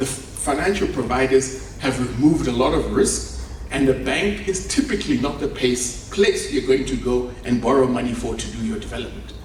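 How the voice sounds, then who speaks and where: The man's moderate pace comes through audible room echo and noticeable background noise. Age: 50s. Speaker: conference speaker, property developer. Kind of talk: conference keynote speech. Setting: conference stage with audience.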